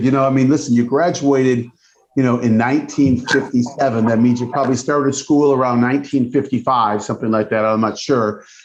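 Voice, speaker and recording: A man speaks at a medium pitch. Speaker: college president, chiropractor. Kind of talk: interview.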